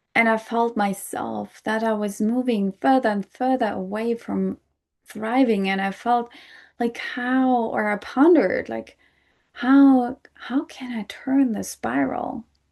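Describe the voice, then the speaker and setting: A woman's fairly high voice in a non-native accent, with ordinary pitch variation and a very slow pace, against a quiet background. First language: not English. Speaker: podcast host. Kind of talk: solo podcast talk.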